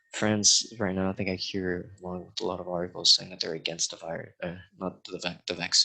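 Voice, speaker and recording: With a strong American accent, a man speaks in a very deep, low pitch and a bright, sharp tone, his intonation monotone and flat, with hardly any pauses. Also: fairly quick pace. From California, US. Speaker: podcast guest, teacher. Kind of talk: casual chat.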